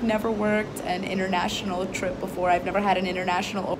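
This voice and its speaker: Noticeable background noise sits behind a woman who speaks at a very fast pace. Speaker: flight attendant vlogger. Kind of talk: casual vlog chat. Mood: cheerful, amused. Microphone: phone near.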